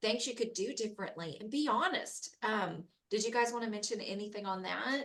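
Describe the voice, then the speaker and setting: Spoken at a moderate pace in a normal speaking voice. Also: woman. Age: 40s. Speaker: program organizer. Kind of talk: panel discussion.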